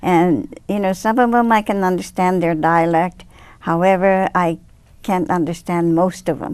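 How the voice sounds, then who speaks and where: With a Japanese accent, a woman talks at a moderate pace in a medium-pitched voice with ordinary pitch variation against a quiet background. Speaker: speech therapist. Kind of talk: interview. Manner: halting.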